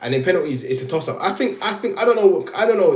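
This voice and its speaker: A man is speaking. Room echo can be heard. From Jamaica. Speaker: live streamer. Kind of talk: casual live stream chat. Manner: animated.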